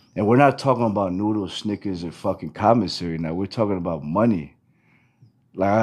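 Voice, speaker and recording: An unremarkable speaking voice in an American accent, fairly quick in pace with ordinary pitch variation. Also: man. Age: 30s. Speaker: event promoter. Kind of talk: casual chat.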